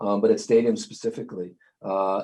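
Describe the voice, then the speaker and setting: A man speaks in a New York accent. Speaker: sports league IT director. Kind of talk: interview. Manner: many fillers and hesitations.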